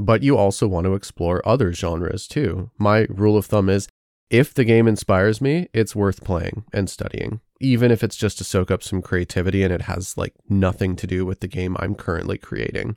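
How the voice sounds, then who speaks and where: A man talks at a moderate pace in a fairly low pitch with ordinary pitch variation and an unremarkable speaking voice, recorded very cleanly with a silent background and a dry, close sound with no echo. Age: 30s. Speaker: indie game developer and podcast host. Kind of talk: solo podcast monologue.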